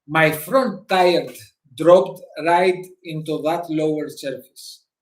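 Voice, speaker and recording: A man with a fairly high pitch speaks with a non-native accent. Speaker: motorcycle vlogger. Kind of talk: live stream talk. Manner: halting.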